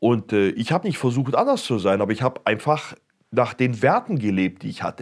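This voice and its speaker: A man speaks at a moderate pace, his pitch swinging very widely, on a very clean recording with a silent background. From Germany, Stuttgart. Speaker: pastor. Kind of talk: testimony.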